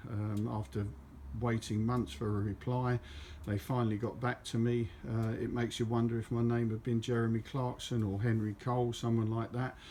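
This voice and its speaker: Speaking at a moderate pace with a southern English accent, a man has a medium pitch, a dark, mellow tone, fairly even intonation and very even loudness. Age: 70s. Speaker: motorcyclist vlogger. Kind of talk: casual monologue. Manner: halting.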